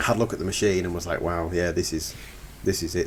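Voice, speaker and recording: A man talks at a fairly quick pace with a Cumbrian accent, his pitch very deep and low. Noticeable background noise runs under the recording. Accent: northern English (Cumbrian). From northern England, Lake District. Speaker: forestry contractor. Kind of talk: podcast interview. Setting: podcast recording.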